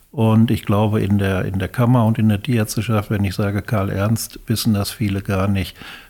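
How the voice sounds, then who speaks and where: The speaker talks at a moderate pace with hardly any pauses. The intonation stays monotone and flat, and the tone is dark and mellow. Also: man, fairly low pitch for a man. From Westphalia, Germany (Erwitte, Hellweg). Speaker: retired farm veterinarian and professional-body official. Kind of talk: casual interview. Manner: halting, with repeated words.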